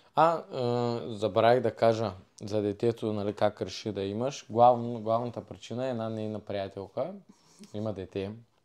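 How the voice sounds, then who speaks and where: Here is a man with an ordinary speaking voice, medium in pitch and fairly even in intonation. He keeps a moderate pace against a quiet background. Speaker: former wrestler, podcast guest. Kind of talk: casual chat.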